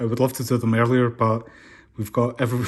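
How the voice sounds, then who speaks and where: With a Scottish accent, a man speaks at a medium pitch. The background is quiet. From Scotland. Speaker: comic book reviewer. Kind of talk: casual talk to camera.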